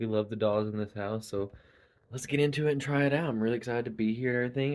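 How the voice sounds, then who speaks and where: A man talks at a very fast pace with an Appalachian accent. His pitch sits in the medium range. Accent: Appalachian US Southern. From Eastern Kentucky. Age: 30s. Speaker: reality game contestant. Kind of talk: casual confessional intro. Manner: halting, many fillers.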